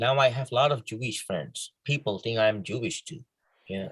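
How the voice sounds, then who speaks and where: A man speaks in a somewhat breathy voice. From Bangladesh. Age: young. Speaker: filmmaker. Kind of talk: interview. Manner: halting.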